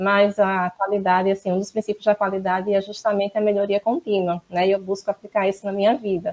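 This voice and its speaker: Speaking at a moderate pace, a woman has a fairly high pitch and a northeastern Brazilian accent. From Northeast Brazil, Maceió, Alagoas. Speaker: quality management consultant and auditor. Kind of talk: interview.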